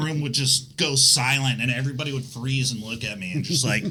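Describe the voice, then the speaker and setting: Speaking at a moderate pace, a man with fairly high pitch has a plain, everyday voice. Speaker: restaurant worker. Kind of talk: casual chat.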